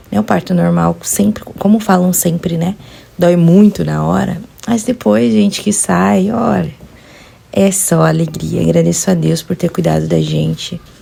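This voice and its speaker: A woman speaks fairly slowly while noticeable background noise fills the recording. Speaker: vlogger, new mother. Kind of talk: personal vlog narration. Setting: at home, baby nursing.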